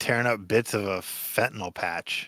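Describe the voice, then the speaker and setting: Recorded very cleanly against a silent background, a man with an American accent has a bright, sharp tone and a dry, close sound with no echo. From Michigan, US. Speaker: podcast co-host. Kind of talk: casual chat.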